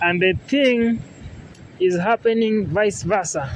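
A man speaks with a high pitch and ordinary pitch variation. Light background noise sits behind him. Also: dry sound with no echo. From Kenya. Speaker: travel vlogger. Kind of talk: vlog walking tour narration. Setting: outdoors. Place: street. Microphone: phone near.

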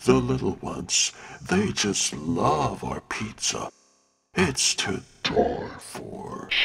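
In a put-on character voice, a man speaks raspily at a very slow pace. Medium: voice reel. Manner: upbeat, showman-like.

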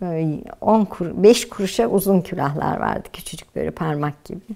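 A woman's voice with vocal fry and lively intonation at a moderate pace, over a quiet background. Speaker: housewife, oral history interviewee. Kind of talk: oral history interview answer, recalling the past. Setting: interview, indoors. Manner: reminiscing, storytelling, nostalgic. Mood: warm, nostalgic, smiling. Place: home room.

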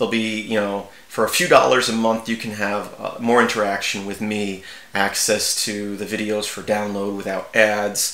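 With audible room echo, a man talks at a moderate pace in a fairly bright tone, fairly low in pitch and with little pitch movement.

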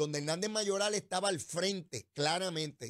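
A man's high, bright, sharp voice with lively intonation against a quiet background. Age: 60s. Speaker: political radio host; political commentary host. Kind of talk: political commentary. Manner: animated. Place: studio. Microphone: studio mic.

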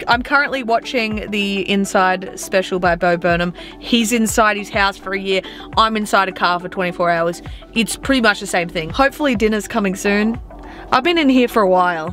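Faint music sits behind a woman recorded in a dry sound with no echo. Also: fairly quick pace. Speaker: vlogger. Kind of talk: casual vlog chat. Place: car. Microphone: phone near.

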